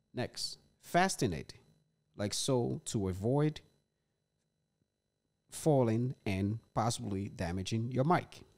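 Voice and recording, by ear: At a slow pace with long, frequent pauses, a man talks at a medium pitch with ordinary pitch variation and a slightly mellow tone.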